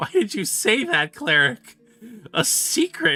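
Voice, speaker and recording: A man uses a put-on character voice at a high pitch. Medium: virtual streamer.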